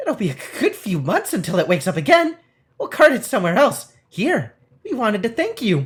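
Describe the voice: A put-on character voice with a fairly high pitch moves along at a fairly quick pace.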